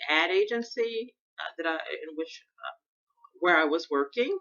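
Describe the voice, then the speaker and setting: A woman with an American accent, very wide pitch swings and a fairly slow pace. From US Midwest, Chicago South Side. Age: 60s. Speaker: podcaster. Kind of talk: personal monologue.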